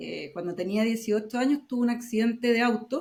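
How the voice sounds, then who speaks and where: A woman talks at a moderate pace. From Chile. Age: 40s. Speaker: accessible tourism entrepreneur, wheelchair user. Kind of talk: podcast interview.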